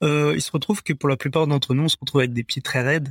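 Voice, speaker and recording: The man's voice sits fairly high, with a dry, close sound and no echo. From Paris suburbs, France. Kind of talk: interview. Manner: halting.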